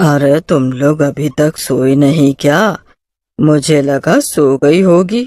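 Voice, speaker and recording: Using a cartoonish character voice, a woman speaks with very deep, low pitch. Her pace is fairly slow. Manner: casual, slangy, breezy.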